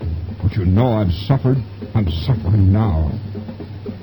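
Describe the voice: What you hear is a plain reading aloud of some text.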